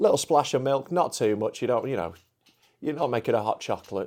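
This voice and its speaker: A man speaks with a Yorkshire accent in a dark, mellow tone. The recording is very clean, with a silent background. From Yorkshire, England. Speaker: comedian. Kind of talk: casual chat.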